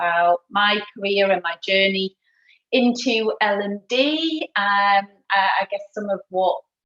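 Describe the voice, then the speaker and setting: This woman speaks with a northeast England accent at a medium pitch and with lively intonation. The sound is dry and close, with no echo. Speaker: learning and development director. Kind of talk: career talk at online event. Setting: video call from home.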